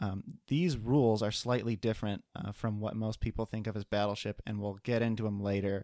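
On a very clean recording with a silent background and a dry, close sound with no echo, a man uses a normal speaking voice at a medium pitch with fairly even intonation. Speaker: board game podcast co-host. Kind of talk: casual chat. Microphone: new microphone.

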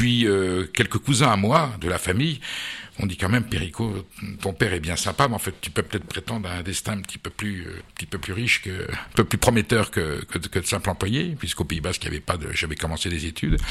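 An unremarkable speaking voice moves at a fairly quick pace with lively intonation. Loudness swings widely throughout. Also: man, fairly low pitch for a man. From France, Basque Country. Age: 60s. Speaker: food journalist and politician. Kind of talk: radio interview.

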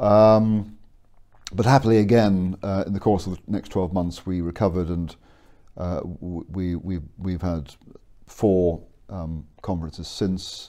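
Fairly slowly, a man speaks with a very deep, low pitch. His tone is dark and mellow, and his intonation fairly even. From Scotland, educated in England. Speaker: theology professor and author. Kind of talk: interview. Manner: halting, many repetitions.

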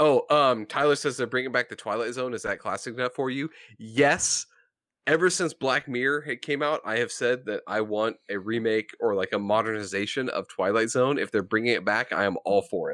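An ordinary speaking voice talks at a fairly quick pace with ordinary pitch variation. The recording is very clean against a silent background. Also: man, medium pitch for a man. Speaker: podcast host. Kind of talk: casual chat.

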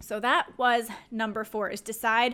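A woman's fairly high voice with a bright, sharp tone on a very clean recording with a silent background. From Louisiana. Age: 20s. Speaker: podcast host, fitness entrepreneur. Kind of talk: solo podcast talk.

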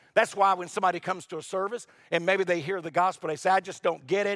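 Very fast speech in an American accent, with fairly even intonation. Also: man. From US South, North Carolina. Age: 60s. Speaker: pastor. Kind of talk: sermon. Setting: church.

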